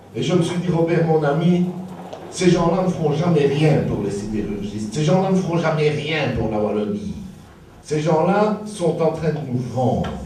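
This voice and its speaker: Noticeable background noise and audible room echo surround this man. He speaks at a fairly slow pace, fairly high in pitch, with lively intonation. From Belgium, Liège area. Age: 60s. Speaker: political activist, author. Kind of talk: political rally speech.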